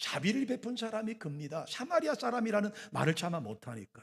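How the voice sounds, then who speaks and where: A high-pitched man at a fairly quick pace, with very wide pitch swings. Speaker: pastor. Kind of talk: sermon.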